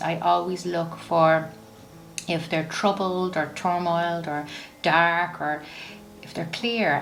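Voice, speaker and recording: The speaker has an Irish accent and a warm, soothing tone with fairly even intonation. Noticeable background noise is audible. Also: woman. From Ireland. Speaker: psychic medium, oracle card reader. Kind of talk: tarot and oracle card reading to camera.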